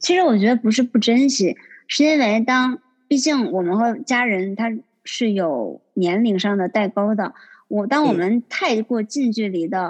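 Lively intonation and a somewhat breathy tone carry this speech along at a moderate pace. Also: woman. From Northeast China, Liaoning. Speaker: accountant. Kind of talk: casual interview chat. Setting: remote call.

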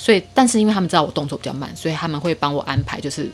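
A woman with a Taiwanese accent speaks in a very deep, low pitch with lively intonation. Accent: Taiwanese Mandarin. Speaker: guest sharing personal story. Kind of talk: casual chat.

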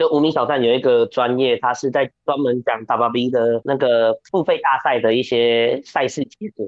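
At a moderate pace, an unremarkable speaking voice rises and falls with ordinary pitch variation. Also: man. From Taiwan, New Taipei. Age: 20s. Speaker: professional wrestler. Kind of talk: interview.

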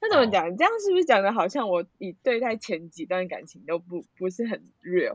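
Very wide pitch swings in a woman's fairly high voice, moderately paced. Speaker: friend of host. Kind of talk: casual chat. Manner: loud.

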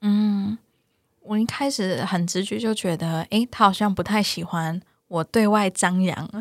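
A woman speaks at a medium pitch and a fairly slow pace, with ordinary pitch variation and a plain, everyday voice. The sound is dry and close with no echo, on a very clean recording with a silent background. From Taiwan, Taichung. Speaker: psychologist. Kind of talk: interview.

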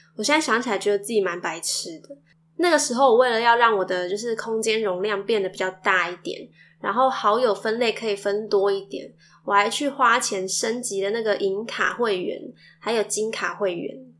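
This woman's pitch is fairly high and varies in an ordinary way. Her pace is moderate. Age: young. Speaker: podcast host, mother. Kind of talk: casual monologue.

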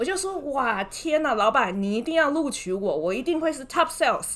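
Very wide pitch swings in a woman's high-pitched voice. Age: 30s. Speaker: former bank wealth manager. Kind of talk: casual interview.

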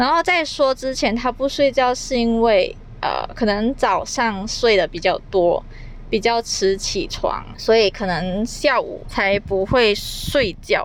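The speaker talks at a very slow pace in a Malaysian accent. The intonation is lively. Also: woman, fairly high pitch for a woman. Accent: Malaysian Chinese. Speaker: podcaster. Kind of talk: casual solo podcast monologue.

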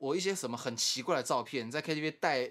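The man's pitch shifts by ordinary amounts. His recording is very clean, and the background is silent. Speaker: podcast co-host. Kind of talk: casual chat.

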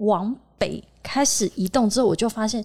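Somewhat breathy and fairly high, a woman's voice carries a dark, mellow tone. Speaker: exhibition industry PR and podcaster. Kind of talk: casual chat. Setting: office meeting room. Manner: animated.

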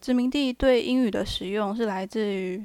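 In a very clean recording with a silent background and a dry, close sound with no echo, a woman with an unremarkable speaking voice talks at a fairly high pitch and a moderate pace with fairly even intonation. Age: 20s. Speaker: student podcast co-host. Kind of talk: reading prepared notes.

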